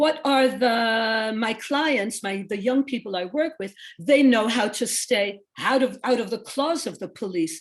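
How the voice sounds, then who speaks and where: An ordinary speaking voice at a fairly slow pace, with lively intonation, on a very clean recording against a silent background. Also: woman, fairly high pitch for a woman. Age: 60s. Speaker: social worker.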